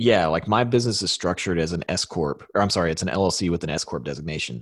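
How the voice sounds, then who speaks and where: In a dry, close sound with no echo, a man speaks at a very fast pace in a very deep, low voice. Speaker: podcast co-host, online business entrepreneur. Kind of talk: casual chat. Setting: remote online call. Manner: casual, laughs often.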